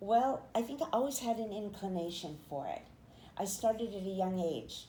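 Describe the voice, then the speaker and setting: Somewhat breathy, a woman speaks at a moderate pace with a medium pitch, a dark, mellow tone and very wide pitch swings. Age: 70s. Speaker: poet and podcaster, author and painter. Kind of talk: interview testimony.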